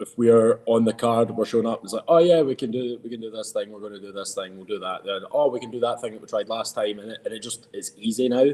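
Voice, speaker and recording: A man with a strong Scottish accent at a medium pitch, fairly quick and fairly even in intonation, with big swings in loudness and noticeable background noise. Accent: thick Scottish. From Scotland. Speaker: professional wrestler. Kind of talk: podcast interview. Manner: hesitant, many fillers.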